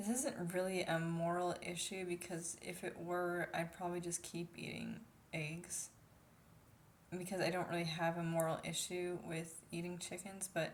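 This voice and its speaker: Amid noticeable background noise and audible room echo, a woman with an American accent speaks at a moderate pace in a fairly low pitch, her intonation monotone and flat. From United States. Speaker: vlogger. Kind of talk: casual vlog monologue. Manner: soft-spoken; hesitant, many fillers.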